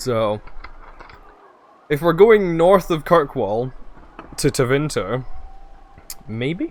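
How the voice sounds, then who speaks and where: A man talks at a very slow pace, leaving long, frequent pauses. His pitch swings very widely, and background noise is noticeable. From Scotland. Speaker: video game streamer. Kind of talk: live gaming stream chat. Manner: casual, chatty with fillers.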